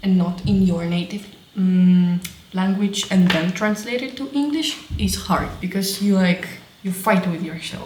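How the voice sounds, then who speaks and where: Over noticeable background noise, a woman with a Russian accent speaks at a fairly slow pace. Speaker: crafting vlogger. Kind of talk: casual vlog talk to camera. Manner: halting.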